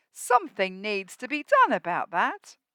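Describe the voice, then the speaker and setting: A woman puts on a character voice, speaking at a moderate pace in a high pitch. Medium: read story. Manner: sly.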